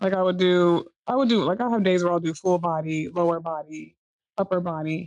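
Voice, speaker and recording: Fairly quick speech in an unremarkable speaking voice comes with ordinary pitch variation. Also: woman, fairly low pitch for a woman. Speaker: podcast co-host. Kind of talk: casual podcast conversation.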